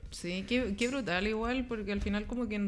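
With a Chilean accent, a woman talks very fast. Her pitch is medium and her intonation fairly even. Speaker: podcast guest. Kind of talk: casual chat.

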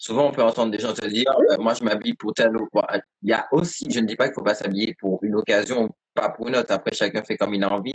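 Dry and close with no echo, the recording has a man at a medium pitch talking at a very fast pace in fairly even intonation. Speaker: podcast host. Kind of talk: interview. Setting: live stream.

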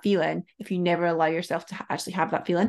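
Her voice sits at a medium pitch. Behind her, all is quiet. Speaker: business mentor. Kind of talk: casual chat.

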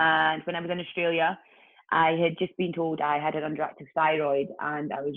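A woman's very deep, low voice in a Scottish accent, flat and monotone, at a moderate pace. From Scotland, Ayr. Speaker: personal trainer and fitness entrepreneur. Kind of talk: casual interview chat.

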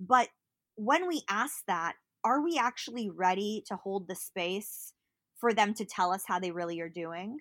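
The voice is an unremarkable speaking voice with lively intonation at a fairly slow pace. It comes through a very clean recording with a silent background. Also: woman, medium pitch for a woman. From US West Coast (Berkeley, California). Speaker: digital marketer and mental health advocate. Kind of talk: casual interview.

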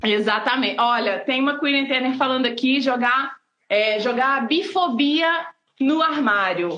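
A woman speaks in a high, raised, projected voice at a fairly slow pace. Her intonation is lively and her loudness stays very even. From Blumenau, Santa Catarina, Brazil. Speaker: artist and live show co-host. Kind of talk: casual live-stream chat. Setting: live video stream.

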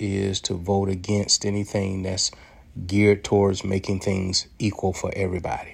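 In an American accent, a man speaks at a moderate pace with a fairly low pitch and monotone, flat intonation. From United States. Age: 60s. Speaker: commentary podcaster. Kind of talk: monologue commentary. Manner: halting, repeated words.

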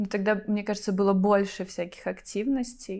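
A woman with a plain, everyday voice speaks with fairly even intonation. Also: very clean recording, silent background. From Belarus, Vitebsk region. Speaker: civic activist. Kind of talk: casual chat.

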